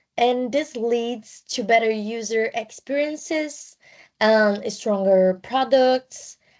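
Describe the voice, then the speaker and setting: In a quiet background, a woman speaks at a very slow pace. She has a non-native accent and a fairly high pitch. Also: ordinary pitch variation. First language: not English. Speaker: student. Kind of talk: class presentation. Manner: partly reading from notes; halting.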